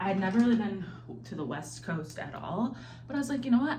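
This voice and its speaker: A woman talks at a fairly quick pace with very wide pitch swings. Noticeable background noise and audible room echo fill the recording. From US Midwest, Ohio (military family, moved around). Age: 30s. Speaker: lifestyle vlogger. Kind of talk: casual vlog talk to camera. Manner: chatty, filler-heavy.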